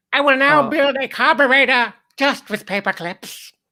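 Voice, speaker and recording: On a very clean recording with a silent background, a woman does a put-on character voice at a high pitch and moderate pace. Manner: theatrical, menacing.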